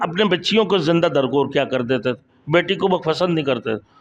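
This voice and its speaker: A man speaks with very wide swings in pitch. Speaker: Islamic preacher. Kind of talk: Islamic sermon (bayan).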